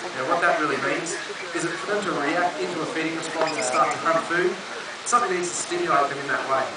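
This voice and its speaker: A man talks at a very fast pace. Loud background noise and audible room echo fill the recording. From Australia. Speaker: wildlife sanctuary keeper. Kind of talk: educational wildlife talk to visitors. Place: open country.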